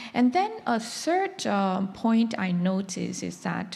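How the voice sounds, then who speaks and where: A woman's voice in a Chinese accent, with audible room echo. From China. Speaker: conference panelist on humanitarian work. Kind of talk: panel discussion talk. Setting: conference stage with audience. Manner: halting, many fillers.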